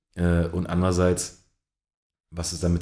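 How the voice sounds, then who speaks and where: A man speaks with a very deep, low pitch. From Berlin, Germany. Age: 30s. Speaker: basketball coach. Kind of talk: interview. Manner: hesitant, many fillers.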